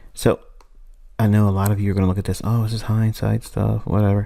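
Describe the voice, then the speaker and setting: A man's fairly low-pitched voice with a dark, mellow tone at a very fast pace, on a very clean recording with a silent background. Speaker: trading teacher. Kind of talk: tutorial.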